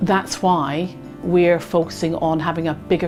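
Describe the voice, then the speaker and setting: A woman with a fairly low pitch and ordinary pitch variation, music in the background. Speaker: charity staff member. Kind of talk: interview answer.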